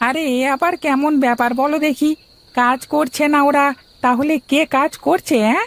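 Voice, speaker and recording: A high-pitched cartoonish character voice at a moderate pace. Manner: chatty, repetitive.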